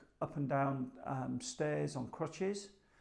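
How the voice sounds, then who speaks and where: A man with an English accent speaks at a fairly slow pace. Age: 60s. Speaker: hospital patient. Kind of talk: testimony. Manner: hesitant, many filler ums.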